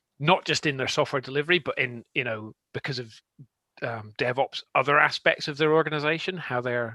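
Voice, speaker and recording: A man with a Scottish accent speaks very fast in a bright, sharp tone, with ordinary pitch variation and a dry, close sound with no echo. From Scotland. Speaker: tech consultant. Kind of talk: panel discussion.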